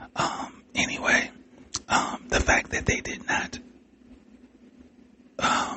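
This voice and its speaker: Whispering over noticeable background noise, the speaker goes very slowly with long, frequent pauses. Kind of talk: podcast monologue. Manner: whispered.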